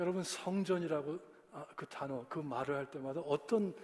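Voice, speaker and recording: With ordinary pitch variation, this man talks at a moderate pace and a fairly high pitch. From US, Korean-American. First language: English (speaking Korean). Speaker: pastor. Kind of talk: sermon. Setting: church. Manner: halting.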